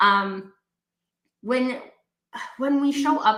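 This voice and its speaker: Amid audible room echo, a woman with a Canadian accent speaks in an animated tone. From Canada. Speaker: talk show host. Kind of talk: casual live-stream conversation.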